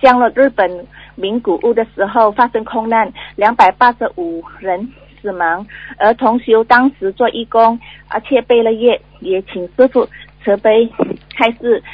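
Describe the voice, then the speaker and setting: At a fairly slow pace, a woman talks with a fairly high pitch and ordinary pitch variation. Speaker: caller. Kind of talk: reading dream accounts aloud. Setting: phone call. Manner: halting.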